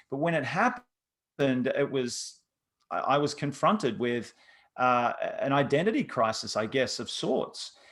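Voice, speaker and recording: A man with an Australian accent speaks at a fairly slow pace. His fairly high pitch carries lively intonation. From Australia, Sydney. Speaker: former pro athlete turned coach. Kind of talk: interview. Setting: video call.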